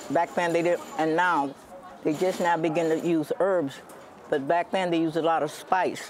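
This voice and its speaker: Amid noticeable background noise, a woman talks at a moderate pace with a fairly low pitch and fairly even intonation. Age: 80s+. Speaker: home cook and gardener selling at a market. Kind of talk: interview. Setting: farmers' market.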